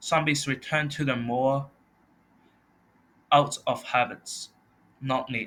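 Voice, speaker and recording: A man with a non-native accent speaks at a very slow pace, leaving long, frequent pauses. His fairly high voice has a bright, sharp tone and monotone, flat intonation. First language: not English. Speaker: college student. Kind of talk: class presentation.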